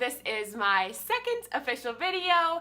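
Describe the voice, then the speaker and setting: A woman projects a raised voice with an animated tone that is bright and sharp. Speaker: vlogger. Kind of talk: casual vlog monologue.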